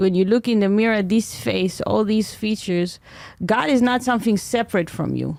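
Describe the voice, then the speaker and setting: A woman speaks with an Israeli accent. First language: Hebrew. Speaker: comedian. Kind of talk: podcast interview. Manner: halting.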